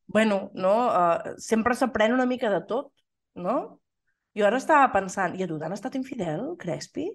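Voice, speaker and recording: A woman speaks with lively intonation against a quiet background. Hers is a normal speaking voice. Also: fairly high pitch for a woman, fairly slow pace. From Catalonia, Osona (Torelló). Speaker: podcast co-host. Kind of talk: casual chat.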